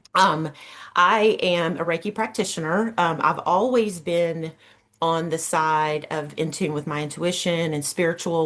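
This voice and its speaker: With a Southern US accent, a woman talks at a moderate pace. Her pitch is fairly low. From US South, Georgia. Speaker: Reiki practitioner. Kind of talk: workshop presentation.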